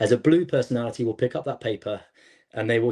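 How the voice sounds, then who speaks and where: Very fast speech from a man with a dark, mellow tone, somewhat breathy. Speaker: gymnastics coach and coaching company founder. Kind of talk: podcast interview.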